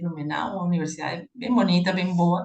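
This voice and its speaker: Speaking at a fairly quick pace, a woman with a Peruvian accent uses a medium pitch. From Peru, Lima. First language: Spanish (speaking Portuguese). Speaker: professor, conference moderator. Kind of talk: academic conference discussion. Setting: video call.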